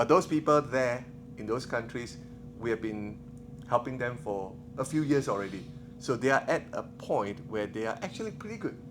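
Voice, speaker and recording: With a Singaporean accent, a man speaks in an animated tone at a medium pitch with ordinary pitch variation. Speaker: missionary filmmaker. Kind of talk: conference talk. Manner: fast.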